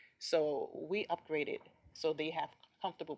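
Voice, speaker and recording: With fairly even intonation, a woman speaks in a fairly low pitch, the sound dry and close with no echo. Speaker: hospital administrator. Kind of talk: presentation at board committee meeting.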